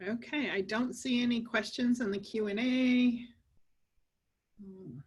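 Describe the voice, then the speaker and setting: A woman's fairly high voice with fairly even intonation and audible room echo. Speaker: lawyer. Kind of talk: webinar lecture. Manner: fast.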